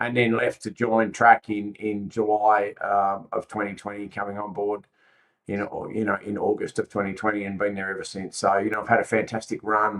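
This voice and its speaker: A man speaks at a fairly low pitch. His intonation stays flat and monotone. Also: moderate pace. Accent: Australian. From Australia, Sydney. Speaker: logistics company executive. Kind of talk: podcast interview.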